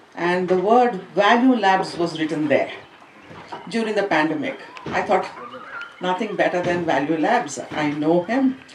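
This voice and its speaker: Talking at a fairly slow pace, a woman leaves long, frequent pauses. Audible room echo and noticeable background noise surround her. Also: medium pitch for a woman, lively intonation. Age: 60s. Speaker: school educator and swimmer. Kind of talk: speech at an event.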